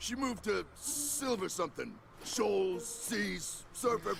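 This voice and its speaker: Clear background noise sits behind a cartoonish character voice delivered at a fairly slow pace. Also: man. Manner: curt, grumbling.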